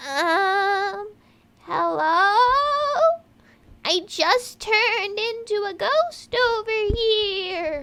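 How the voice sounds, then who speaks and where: Using a put-on character voice, a woman talks at a very slow pace with an extremely high pitch and long, frequent pauses. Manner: spooky, quavering.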